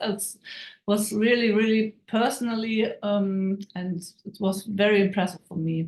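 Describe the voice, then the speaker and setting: At a fairly slow pace, a woman with a non-native accent speaks in a medium pitch with monotone, flat intonation. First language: German. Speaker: network marketing team member. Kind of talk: testimony. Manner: halting.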